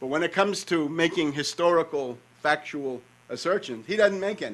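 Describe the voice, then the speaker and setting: Speaking at a moderate pace with a New York accent, a man talks in a high voice with ordinary pitch variation. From New York, North Queens. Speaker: conference speaker, author. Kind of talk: conference talk.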